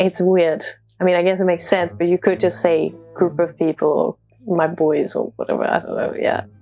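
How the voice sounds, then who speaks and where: Music plays in the background as a woman with a fairly low pitch talks with ordinary pitch variation. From Denmark. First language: Danish. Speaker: international student. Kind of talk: casual talk to camera.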